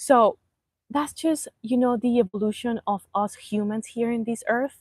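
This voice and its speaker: A woman with a Spanish accent talks at a moderate pace with ordinary pitch variation, recorded very cleanly against a silent background in a dry, close space with no echo. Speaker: life coach. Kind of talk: live stream motivational talk. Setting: outdoors, live stream. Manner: casual, halting.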